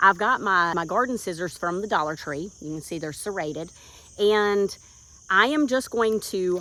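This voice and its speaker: A woman with a Southern US accent speaks at a moderate pace in a medium pitch, her tone bright and sharp. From US South, central North Carolina. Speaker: gardening YouTuber. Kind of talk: tutorial. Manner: animated.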